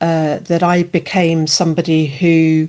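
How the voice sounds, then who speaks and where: A woman's fairly low voice with an English accent. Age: 60s. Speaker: alcohol-freedom coach and author. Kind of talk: interview. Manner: hesitant, many fillers.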